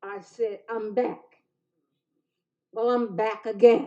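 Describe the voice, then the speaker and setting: Here is a woman with an American accent. Her voice is fairly high in pitch. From Chester, Pennsylvania, US. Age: 80s+. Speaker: public commenter, ordained minister. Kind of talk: public comment at council meeting. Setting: city council meeting.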